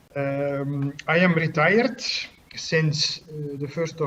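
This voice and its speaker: Very slow speech from a man, fairly high in pitch, with fairly even intonation. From Belgium (Bruges, Flanders). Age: 60s. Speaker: chess arbiter. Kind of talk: interview. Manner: hesitant, many fillers.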